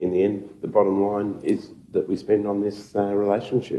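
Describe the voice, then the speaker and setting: The man has an Australian accent and a fairly low pitch. He talks at a moderate pace. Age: 60s. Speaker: city councillor. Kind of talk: council meeting debate. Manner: halting, many fillers.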